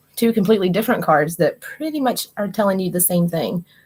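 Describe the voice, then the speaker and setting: A somewhat breathy woman with a West Virginia accent, medium pitch, lively intonation and a fairly quick pace. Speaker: tarot card reader and livestreamer. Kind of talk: live stream card reading. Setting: live stream with chat. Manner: casual, conversational.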